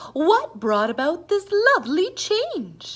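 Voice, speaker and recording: A woman's put-on character voice, extremely high with very wide pitch swings, at a fairly slow pace. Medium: read story.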